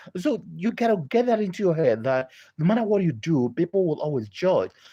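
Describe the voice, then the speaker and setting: A man with a dark, mellow tone talks at a moderate pace, his pitch swinging very widely. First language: not English. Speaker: doctor and public speaking coach. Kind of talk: online masterclass talk. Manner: hesitant with many fillers.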